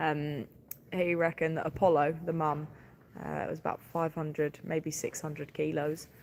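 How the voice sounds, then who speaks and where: With a southeast English accent, a woman speaks in a very deep, low voice. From southeast England, Sussex. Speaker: farmer. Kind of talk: livestream chat with viewers. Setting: livestream on farm, calving watch. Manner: animated.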